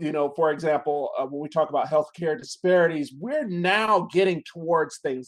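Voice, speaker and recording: Against a quiet background, a man with an unremarkable speaking voice talks fairly quickly in an American accent. His pitch sits fairly high and varies in an ordinary way. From Chicago, US Midwest. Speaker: interventional radiologist. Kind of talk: interview.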